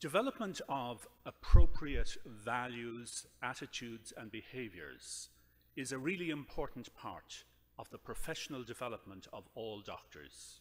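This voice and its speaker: Big swings in loudness and a fairly slow pace, in an Irish accent. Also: man. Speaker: surgeon and professor. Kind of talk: lecture. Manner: formal.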